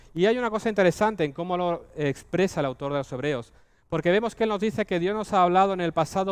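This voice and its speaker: A man's high-pitched voice with ordinary pitch variation, a fairly quick pace and a quiet background. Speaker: preacher. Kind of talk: sermon. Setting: church.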